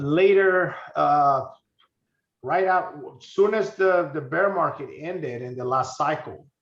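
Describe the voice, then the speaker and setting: Speaking fairly slowly with long, frequent pauses, a man with a high pitch and a Spanish accent shows ordinary pitch variation in a room with audible echo. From Honduras. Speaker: crypto investor. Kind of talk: interview. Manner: halting, many fillers and repeats.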